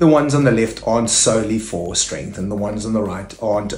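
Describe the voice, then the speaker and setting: Audible room echo surrounds a man speaking at a fairly quick pace over faint background music. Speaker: fitness coach. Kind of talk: tutorial.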